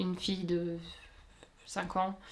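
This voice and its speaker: A woman's fairly low, monotone voice with flat intonation over noticeable background noise. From Luxembourg. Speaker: sewing YouTuber. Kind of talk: casual Q&A chat. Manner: many hesitations (euh).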